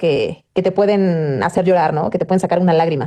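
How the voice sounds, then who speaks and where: With a central Mexican accent, a woman speaks in a dark, mellow tone, her intonation fairly even. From Mexico, Puebla. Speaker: news anchor. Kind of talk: interview.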